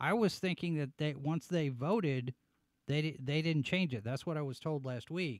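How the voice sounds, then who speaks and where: A man speaks in an animated tone at a fairly high pitch, with ordinary pitch variation, a dry sound with no echo, and a quiet background. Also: moderate pace. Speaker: show host and website editor. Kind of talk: live-stream commentary show. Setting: studio live broadcast. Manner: animated, on-air energy. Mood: pensive, serious. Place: studio. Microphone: studio mic.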